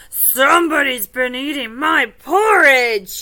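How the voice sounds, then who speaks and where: Growling in a put-on character voice, a woman speaks at a high pitch and a fairly slow pace. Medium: read story.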